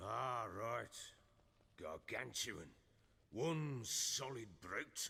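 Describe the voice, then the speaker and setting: A man puts on a raspy, gruff character voice at medium pitch with lively intonation. He goes very slowly, with long, frequent pauses. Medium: video game. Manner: gruff, blunt, British swearing.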